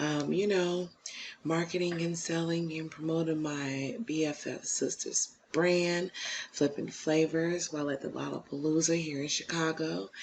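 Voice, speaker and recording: Soft-spoken and very deep in pitch, a woman talks at a fairly slow pace with fairly even intonation. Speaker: YouTube commentator. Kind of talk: casual reaction commentary. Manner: soft-spoken, low; halting, many fillers.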